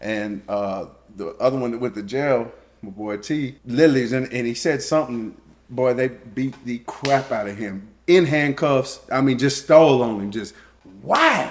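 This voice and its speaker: A man's medium-pitched voice with ordinary pitch variation, in a South Louisiana accent. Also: moderate pace. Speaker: co-host, husband of the channel owner. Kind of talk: casual chat. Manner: halting.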